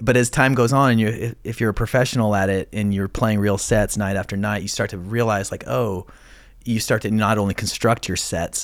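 A man with an unremarkable speaking voice and an American accent talks fairly quickly at a fairly low pitch with fairly even intonation. The recording is very clean with a silent background. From Idaho, US. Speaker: podcast host. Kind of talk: casual interview chat. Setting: studio.

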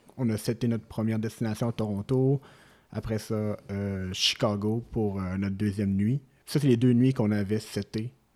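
A man speaks in a plain, everyday voice at fairly low pitch with fairly even intonation and a moderate pace. The recording is very clean, with a silent background. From Quebec City. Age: 20s. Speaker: lab analyst, traveller. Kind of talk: storytelling interview.

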